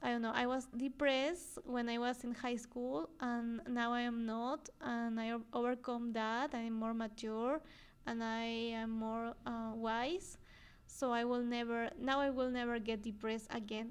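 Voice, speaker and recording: A woman's fairly high voice with a Spanish accent, fairly slow and with fairly even intonation. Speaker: podcast host, psychologist. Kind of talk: solo podcast talk. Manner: halting, frequent fillers and repetitions.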